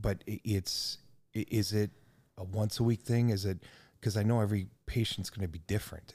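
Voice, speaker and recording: A somewhat breathy man with an American accent, fairly low in pitch, with a dark, mellow tone, fairly even intonation and a fairly quick pace, in a dry, close recording with no echo and a completely silent background. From United States. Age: 50s. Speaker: podcast host. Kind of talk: casual interview.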